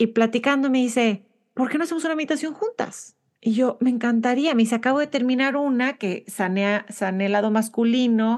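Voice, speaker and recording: Fairly quick speech from a woman with a high-pitched voice. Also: ordinary pitch variation, quiet background. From Monterrey, Mexico. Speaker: podcast host. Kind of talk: interview conversation.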